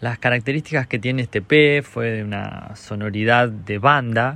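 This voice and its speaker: This voice has a bright, sharp tone and moves at a very slow pace. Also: man. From Argentina, La Pampa province (small rural town). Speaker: singer-songwriter. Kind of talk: recorded narration presenting his music.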